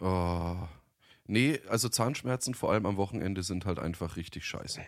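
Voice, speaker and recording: In a very clean recording with a silent background, a man with a very deep, low pitch speaks at a fairly slow pace, with ordinary pitch variation and long, frequent pauses. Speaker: podcast co-host, voice-over artist. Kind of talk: casual chat.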